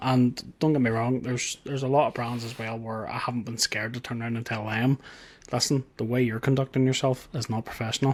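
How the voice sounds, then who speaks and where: In a Northern Irish accent, a man speaks at a fairly quick pace, medium pitch, and ordinary pitch variation. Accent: Northern Irish, noticeable twang. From Northern Ireland. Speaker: tech YouTuber. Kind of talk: interview. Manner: casual, repetitive with restarts.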